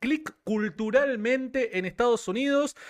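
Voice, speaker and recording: A man speaks with an extremely high pitch and ordinary pitch variation. His tone is animated, and the background is quiet. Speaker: livestream interviewer. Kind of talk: live-streamed interview.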